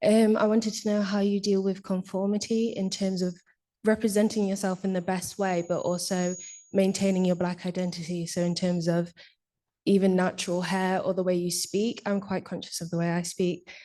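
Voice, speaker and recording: With a Nottingham accent, a woman speaks in a dark, mellow tone and a monotone, flat intonation. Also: medium pitch for a woman, moderate pace, quiet background. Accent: faint Nottingham accent, careful enunciation. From Nottingham, England. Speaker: audience member asking a question. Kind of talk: audience question. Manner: clear, carefully enunciated.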